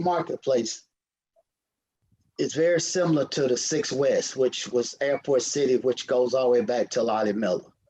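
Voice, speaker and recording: Speaking in a Southern US accent, a man keeps to a moderate pace. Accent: Southern US (Georgia). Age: 60s. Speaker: city council member. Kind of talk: council meeting remarks. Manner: halting, repetitive.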